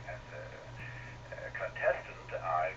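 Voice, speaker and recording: Recorded with noticeable background noise and audible room echo, a man is talking. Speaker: amateur radio operator. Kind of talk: casual chat. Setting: radio net over repeater. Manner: halting.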